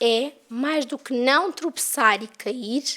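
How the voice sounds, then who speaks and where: Speaking with a European Portuguese accent, a woman has a high pitch and ordinary pitch variation. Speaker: spiritist lecturer. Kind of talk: lecture.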